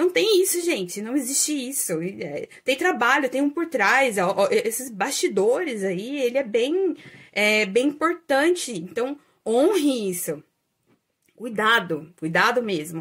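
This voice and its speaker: In a very clean recording with a silent background, a woman speaks very slowly in a high voice with very wide pitch swings. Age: 30s. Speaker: astrologer and holistic therapist, video creator. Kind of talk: casual vlog monologue. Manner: hesitant, many fillers.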